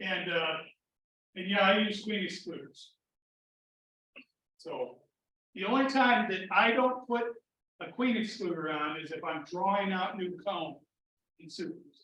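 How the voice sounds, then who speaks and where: A raised, projected voice at a fairly slow pace, with long, frequent pauses and audible room echo. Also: man, high pitch for a man, ordinary pitch variation, big swings in loudness. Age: 60s. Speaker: beekeeping club president. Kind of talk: club meeting talk. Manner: casual, filler-heavy.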